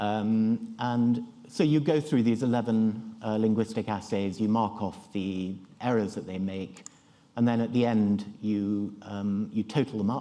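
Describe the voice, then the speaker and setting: A man speaks in a British accent with a dark, mellow tone. His intonation is fairly even and his pace fairly slow. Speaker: neurology professor giving a conference talk. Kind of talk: conference lecture. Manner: halting, many fillers and restarts. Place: hall.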